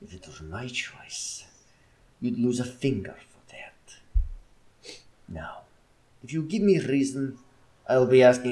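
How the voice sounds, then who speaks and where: Putting on a growling character voice at medium pitch, a man speaks fairly slowly with long, frequent pauses. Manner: growling, threatening.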